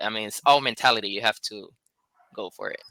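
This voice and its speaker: Here a man speaks with a Puerto Rican accent. His tone is bright and sharp, at a moderate pace. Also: dry, close sound with no echo. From Puerto Rico. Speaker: life insurance agent. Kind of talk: casual interview chat.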